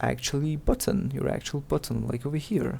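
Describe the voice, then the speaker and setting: With a non-native accent, this voice shows ordinary pitch variation. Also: man. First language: not English. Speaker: game developer tutorial creator. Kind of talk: tutorial. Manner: halting, many fillers and repeats; casual.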